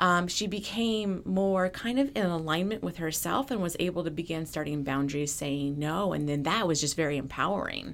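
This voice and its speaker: Speaking in an ordinary speaking voice, a woman uses lively intonation at a fairly low pitch. Her pace is moderate, with hardly any pauses. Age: 40s. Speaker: emotional intelligence coach. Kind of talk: interview.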